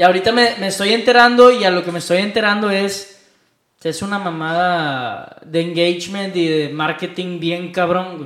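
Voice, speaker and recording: A moderate pace with a Mexican accent. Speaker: podcast co-host. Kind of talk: casual chat.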